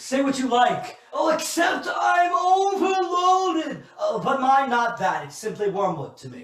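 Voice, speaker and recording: A man shouting in a put-on character voice, extremely high-pitched, at a fairly slow pace, with a slight echo. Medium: stage play. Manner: theatrical, complaining.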